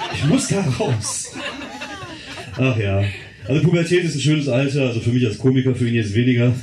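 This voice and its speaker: Music plays behind a man of medium pitch who talks at a fairly quick pace with ordinary pitch variation and long, frequent pauses, in a room with audible echo. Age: 40s. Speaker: comedian. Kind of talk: stand-up. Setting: stage with audience.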